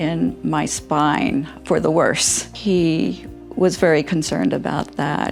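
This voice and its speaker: Music can be heard behind the speaker. She is a woman talking at a very slow pace. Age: 70s. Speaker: scoliosis surgery patient. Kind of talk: patient testimonial interview answer.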